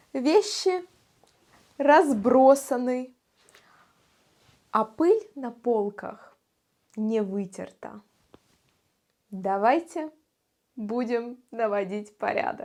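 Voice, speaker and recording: Very slow pace with lively intonation and long, frequent pauses. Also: woman, high pitch for a woman. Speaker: Russian language teacher. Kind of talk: language lesson vlog. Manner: slow and clear.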